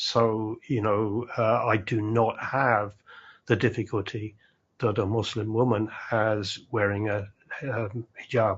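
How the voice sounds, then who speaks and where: Speaking very slowly in a British accent, a man uses a somewhat breathy voice and monotone, flat intonation. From UK. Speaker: community leader, former English teacher. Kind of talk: panel discussion. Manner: halting, many repetitions.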